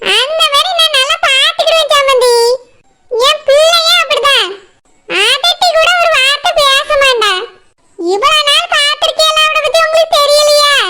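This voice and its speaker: A woman uses a squeaky, cartoonish character voice at an extremely high pitch. She talks at a fairly slow pace with very wide pitch swings and very even loudness. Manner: effusive, repetitive assurances.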